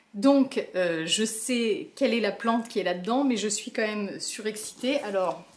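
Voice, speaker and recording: A woman with a fairly high voice talks at a fairly slow pace, with hardly any pauses. Her pitch varies in an ordinary way, and there is noticeable background noise. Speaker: plant vlogger. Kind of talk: casual vlog. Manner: animated.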